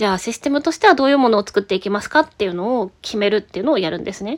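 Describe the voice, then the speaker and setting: Dry and close with no echo, a woman's plain, everyday voice sits at a fairly high pitch with lively intonation. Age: 30s. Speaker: IT company employee, podcaster. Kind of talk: casual solo talk answering listener mail.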